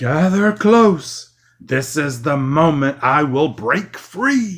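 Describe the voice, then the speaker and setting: Putting on a character voice, a man speaks very slowly at a fairly high pitch with lively intonation on a very clean recording with a silent background. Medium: read story. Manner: theatrical.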